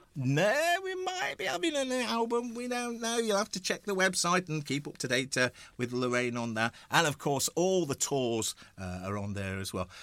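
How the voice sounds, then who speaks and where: A man's high-pitched voice, warm in tone yet bright and sharp, with very wide pitch swings. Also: moderate pace. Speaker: hospital radio presenter. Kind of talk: casual radio interview. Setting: studio. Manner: warm and chatty.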